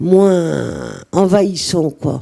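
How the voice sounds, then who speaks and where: With a dark, mellow tone, a woman speaks at a medium pitch with fairly even intonation. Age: 60s. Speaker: mental health service user. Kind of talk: testimony. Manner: hesitant, many fillers.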